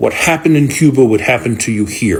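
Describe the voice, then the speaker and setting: A man with an American accent talks at a medium pitch, somewhat breathy, with lively intonation. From Florida. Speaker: social media commentator. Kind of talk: political commentary. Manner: emphatic.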